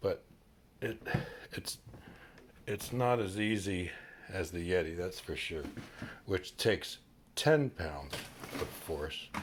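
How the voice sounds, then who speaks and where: A man speaks with a very deep, low pitch. His pace is very slow, broken by long, frequent pauses. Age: middle-aged. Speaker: product reviewer. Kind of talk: casual product review to camera. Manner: hesitant, filler-heavy.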